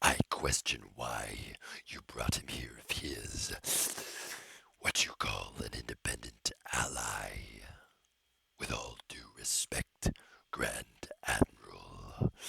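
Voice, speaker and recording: A man speaks in a raspy, put-on character voice at a fairly slow pace. He leaves long, frequent pauses. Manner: questioning, wary.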